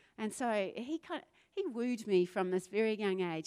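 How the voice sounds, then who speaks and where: With a New Zealand accent, a woman speaks at a moderate pace with lively intonation in a very clean recording with a silent background and a dry, close sound with no echo. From New Zealand, South Island. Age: 40s. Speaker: pastor. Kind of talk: sermon. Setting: church stage with audience.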